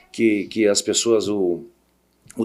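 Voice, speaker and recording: The recording is very clean, and the background is silent. A man talks at a fairly slow pace. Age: 60s. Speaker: tennis coach and business owner. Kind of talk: casual interview. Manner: halting, repeats words.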